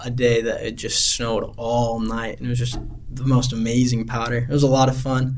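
Speaking fairly quickly in a flat monotone, a man with a Utah accent is heard with audible room echo. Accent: Utah American. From Utah, Heber City. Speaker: missionary. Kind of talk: interview.

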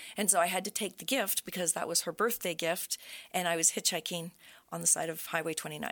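On a very clean recording with a silent background, a woman with a fairly low voice and an Ontario accent speaks very fast with fairly even intonation. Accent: Canadian English (Ontario). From Brockville, Ontario, Canada. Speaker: real estate agent. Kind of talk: casual interview.

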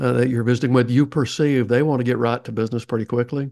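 Over a quiet background, a man talks in a Southern US accent. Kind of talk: interview, conversational.

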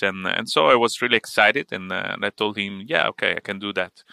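A man with an Italian accent, fairly low in pitch, with a bright, sharp tone and ordinary pitch variation, on a very clean recording with a silent background and a dry, close sound with no echo. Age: 40s. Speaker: tech entrepreneur and consultant. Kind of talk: casual interview. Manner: halting, many fillers.

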